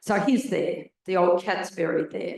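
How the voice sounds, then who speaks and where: In an Australian accent, a woman talks at a moderate pace with a medium-pitched voice. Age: 70s. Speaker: audience member, renter and environmental activist. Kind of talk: audience question at forum.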